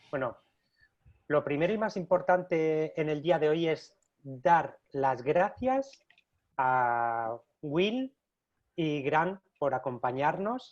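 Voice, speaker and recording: The pace is very slow. Pauses are long and frequent. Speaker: host of online user group session for visual effects artists. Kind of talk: live webinar introduction. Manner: hesitant, many filler sounds.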